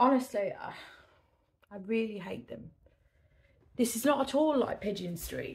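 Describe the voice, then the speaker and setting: A woman speaks with an English accent at medium pitch. Her pace is moderate. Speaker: eBay reseller. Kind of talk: casual vlog talk to camera.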